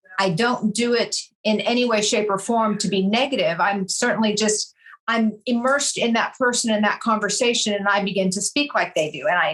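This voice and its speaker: A woman with an American accent, fairly high in pitch, at a moderate pace with fairly even intonation. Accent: slight California accent, adapts to listener. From California, San Pedro. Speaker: real estate broker. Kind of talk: interview conversation.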